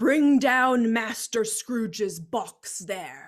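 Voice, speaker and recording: In a put-on character voice, a woman shouts and growls at a very slow pace, her fairly high pitch carrying lively intonation. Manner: shouting, commanding.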